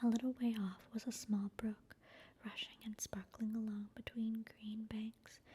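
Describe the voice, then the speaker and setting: Soft-spoken and calm, with a gentle tone, the voice moves at a fairly slow pace. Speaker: ASMR channel reader. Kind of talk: soft-spoken ASMR book reading. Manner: soft-spoken, calm, gentle.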